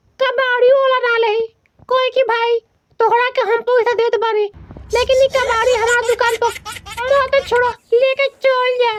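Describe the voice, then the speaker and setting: A man in a put-on character voice, extremely high-pitched and flat in a monotone, at a moderate pace with long, frequent pauses. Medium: solo performance. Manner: mocking.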